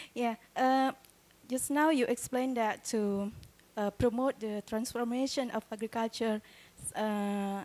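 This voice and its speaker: A dark, mellow tone in an Indonesian accent, with fairly even intonation. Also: woman. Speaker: doctoral student asking a question. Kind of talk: audience question.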